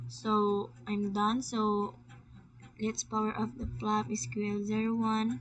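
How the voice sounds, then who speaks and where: A woman talks very slowly in a Filipino accent. Her pitch swings very widely. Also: medium pitch for a woman. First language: Tagalog. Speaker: student presenting class assignment. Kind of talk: screen-recorded tutorial. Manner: halting, repeats words.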